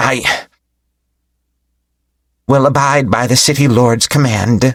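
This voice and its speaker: A man puts on a character voice at medium pitch. He delivers it at a fairly slow pace. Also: fairly even intonation. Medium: read story. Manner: disdainful.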